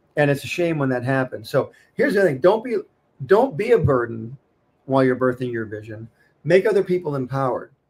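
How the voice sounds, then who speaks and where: This man's voice is fairly high and somewhat breathy. He talks at a fairly quick pace with lively intonation. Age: 60s. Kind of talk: casual chat.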